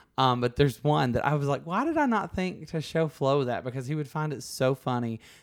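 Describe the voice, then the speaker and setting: The speech comes at a fairly quick pace with hardly any pauses, in a Southern US accent. Its pitch varies in an ordinary way. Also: man, fairly high pitch for a man. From US South, Alabama. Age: 30s. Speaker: podcast host. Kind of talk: casual interview chat.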